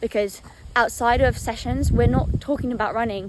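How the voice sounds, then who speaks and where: Vocal fry at a fairly quick pace. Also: woman. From Northern Ireland. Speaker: professional runner. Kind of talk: casual Q&A vlog. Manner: fast; animated.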